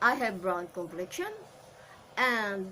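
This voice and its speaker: Lively intonation marks this woman's speech in a Filipino accent. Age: 50s. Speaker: actor and commercial model. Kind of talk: audition self-introduction. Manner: halting.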